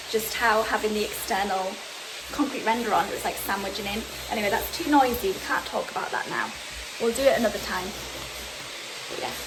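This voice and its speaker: A woman speaks at a fairly high pitch and a fairly quick pace, with ordinary pitch variation and long, frequent pauses. Audible room echo and noticeable background noise fill the recording. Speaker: home renovation vlogger. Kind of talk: casual vlog house tour. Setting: outdoors. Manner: loud.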